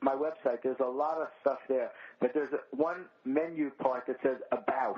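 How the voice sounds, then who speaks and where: The speaker is a man with a fairly high voice. His pitch varies in an ordinary way. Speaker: comedy writer and comic. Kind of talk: podcast interview. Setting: podcast. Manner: careful, self-monitored speech.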